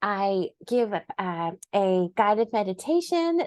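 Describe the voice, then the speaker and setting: A woman with a plain, everyday voice at a medium pitch, lively intonation, dry, close sound with no echo and a quiet background. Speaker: meditation coach and business owner. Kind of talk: casual chat.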